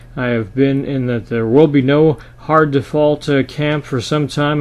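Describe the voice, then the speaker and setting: A man's plain, everyday voice, fairly high in pitch, with fairly even intonation and a fairly slow pace. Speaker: market commentator. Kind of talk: financial market commentary to camera. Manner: conversational, with frequent filler 'uh'.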